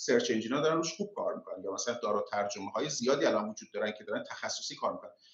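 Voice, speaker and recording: Background noise is noticeable throughout. Through it, a man talks. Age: 40s. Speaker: tech entrepreneur. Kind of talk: casual interview.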